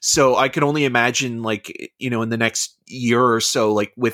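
With a normal speaking voice, a man talks at medium pitch and fairly even intonation on a very clean recording with a silent background and a dry, close sound with no echo. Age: 30s. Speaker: movie podcast co-host. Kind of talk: casual chat.

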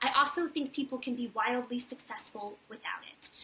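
Noticeable background noise sits behind a woman with an American accent who speaks at a moderate pace in a high pitch. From Virginia, near Charlottesville. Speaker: theater industry advisor hosting weekly Q&A. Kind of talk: casual advice livestream. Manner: many fillers (um, uh).

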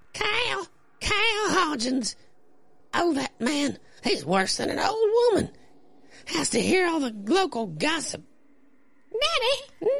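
A man's put-on character voice, extremely high-pitched, at a fairly slow pace with very wide pitch swings and long, frequent pauses. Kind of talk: comic falsetto play-acting by a man. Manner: nagging, uneasy.

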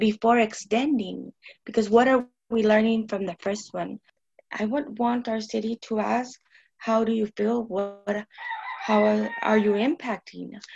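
A woman with an American accent speaks at a fairly slow pace in a fairly high, somewhat breathy voice, recorded with a dry, close sound and no echo. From Tucson, Arizona. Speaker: neighborhood resident and advocate. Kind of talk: podcast interview discussion.

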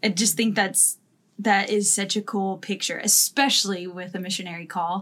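A woman with a normal speaking voice, medium pitch, fairly even intonation and moderate pace, in a very clean recording with a silent background. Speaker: podcast co-host. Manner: joking, playful.

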